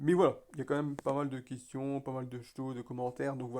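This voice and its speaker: A man at a fairly high pitch, very fast pace and fairly even intonation. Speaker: mobile game YouTuber. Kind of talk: casual gaming commentary. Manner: halting.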